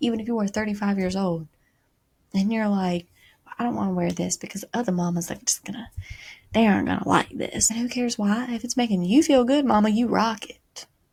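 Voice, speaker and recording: A woman's somewhat breathy, fairly high voice, with ordinary pitch variation and a fairly quick pace. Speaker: podcast host. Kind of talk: casual motivational monologue.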